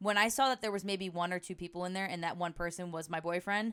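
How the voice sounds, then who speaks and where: Talking at a fairly quick pace, the woman has a fairly low voice. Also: very clean recording, silent background. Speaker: podcast host and Twitch streamer. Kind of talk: casual chat. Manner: fast.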